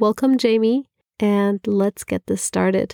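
A woman speaks at a fairly slow pace in a dry, close sound with no echo. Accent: German. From Germany. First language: German. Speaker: podcast co-host. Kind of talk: casual chat.

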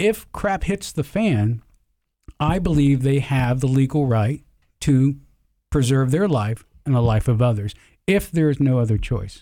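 With an American accent, a man speaks at a medium pitch in a dark, mellow tone with lively intonation. His loudness is very even, and he takes long, frequent pauses. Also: fairly slow pace. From US South. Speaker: gun club membership organizer, retired university staff. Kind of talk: casual panel interview.

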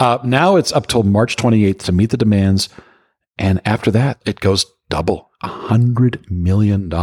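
A man with an ordinary speaking voice talks at a fairly slow pace in a fairly low pitch. His pitch variation is ordinary, and the sound is dry and close with no echo. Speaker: security industry veteran. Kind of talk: casual chat.

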